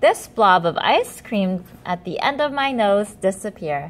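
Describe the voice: This is plain reading aloud delivered with lively intonation.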